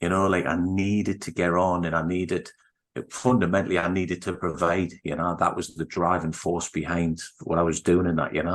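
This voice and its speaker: A man with a very deep, low voice speaks at a moderate pace. His intonation is monotone and flat against a quiet background. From northern England, Newcastle (Geordie). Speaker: breathwork coach and former business owner. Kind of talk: personal life story in podcast interview. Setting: video call.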